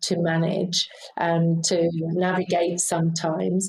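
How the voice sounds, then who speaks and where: A woman with a fairly low pitch speaks in a British accent. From UK. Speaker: aged care leader. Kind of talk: interview.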